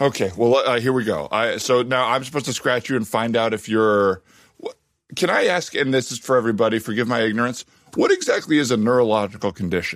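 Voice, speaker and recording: A man with an American accent speaks at a very fast pace, his medium pitch showing ordinary variation. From Arizona, US. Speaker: improv comedian and podcast host. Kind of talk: improv comedy podcast, casual chat with improvised scenes.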